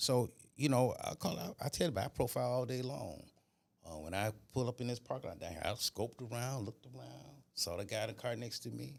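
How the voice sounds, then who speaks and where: Lively in intonation and very fast, a man speaks at medium pitch with vocal fry. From Florida. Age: 60s. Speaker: retired police officer. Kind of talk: casual chat.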